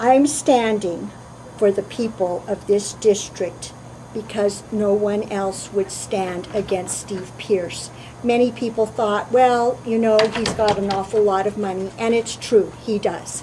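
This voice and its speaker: This woman talks at a very slow pace with a medium pitch and fairly even intonation. Noticeable background noise runs under her voice. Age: 50s. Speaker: political candidate. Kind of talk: campaign statement.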